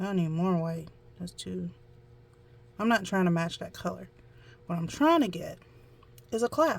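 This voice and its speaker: This speaker has a Southern US accent. She is a woman talking at a moderate speed. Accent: country southern. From US South. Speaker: amateur painter, tutorial vlogger. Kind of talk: casual painting tutorial.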